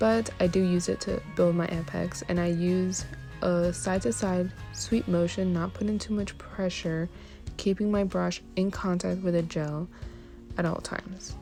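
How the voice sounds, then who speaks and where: Music plays in the background as a woman speaks quietly at a fairly slow pace. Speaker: nail technician. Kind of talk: tutorial voice-over. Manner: low, quiet.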